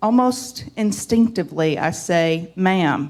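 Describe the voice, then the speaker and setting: A woman's medium-pitched voice in a Southern US accent, very slow with lively intonation, on a very clean recording with a silent background. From US South. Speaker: lay church leader. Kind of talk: sermon.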